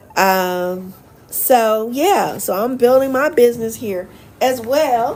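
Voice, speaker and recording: A woman speaks in a North Carolina accent at a fairly high pitch. Her tone is animated and her intonation lively. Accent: Southern US (North Carolina). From US South, Charlotte, North Carolina. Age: 50s. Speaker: expat vlogger and life coach. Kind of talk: casual livestream chat.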